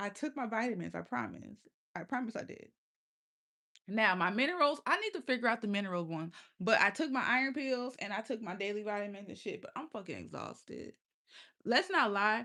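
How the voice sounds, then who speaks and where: Talking at a fairly quick pace, a woman uses a fairly high pitch with vocal fry and a bright, sharp, animated tone, her intonation lively and her loudness swinging widely. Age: 20s. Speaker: livestreamer. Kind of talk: casual chat.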